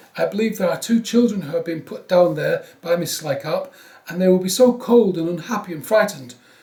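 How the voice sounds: Someone reads aloud. The voice is a natural reading voice.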